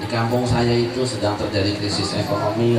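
Loud background noise and audible room echo surround a man as he talks. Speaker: Islamic preacher. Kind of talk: sermon with humor. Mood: humorous storytelling. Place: home room.

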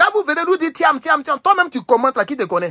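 A man's animated, raised and projected voice with an Ivorian accent, extremely high in pitch, bright and sharp, with very wide pitch swings at a fairly quick pace. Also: quiet background. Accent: Ivorian French accent when speaking English. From Côte d'Ivoire. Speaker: political commentator. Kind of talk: livestream commentary. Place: home room. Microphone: phone near.

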